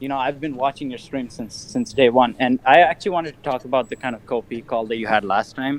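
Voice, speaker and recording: In a Curaçao accent, a man of medium pitch talks at a very fast pace with hardly any pauses, ordinary pitch variation and big swings in loudness. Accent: Curacao. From Curacao. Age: 20s. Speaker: caller. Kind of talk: casual chat.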